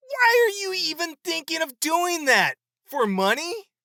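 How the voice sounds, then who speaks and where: In a put-on character voice, a man sounds squeaky and extremely high-pitched while keeping a moderate pace. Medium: read story. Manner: heated, indignant.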